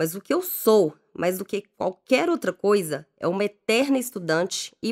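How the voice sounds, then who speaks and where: Here a woman of medium pitch speaks at a fairly slow pace, her voice making very wide pitch swings. The recording is very clean and dry, with a close sound, no echo and a silent background. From Belo Horizonte, Minas Gerais, Brazil. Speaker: life coach. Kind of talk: scripted narration.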